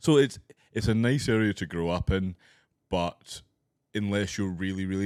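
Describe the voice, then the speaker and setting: A man with a Scottish accent, very deep, low pitch and ordinary pitch variation at a moderate pace, on a very clean recording with a silent background. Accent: posh-sounding non-Glaswegian Scottish. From Scottish Highlands, near Inverness. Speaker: stand-up comedian. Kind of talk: casual chat. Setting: studio.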